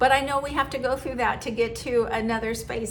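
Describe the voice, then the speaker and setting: Audible room echo surrounds the voice. A woman speaks at a fairly high pitch. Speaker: lifestyle vlogger. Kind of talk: personal monologue.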